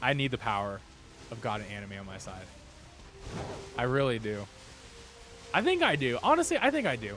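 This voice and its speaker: Music plays in the background as the speaker talks at a fairly quick pace. Long, frequent pauses break up the speech, and the loudness swings widely. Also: man, medium pitch for a man, ordinary pitch variation. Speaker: gaming streamer. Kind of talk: live stream chat. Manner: casual, rambling.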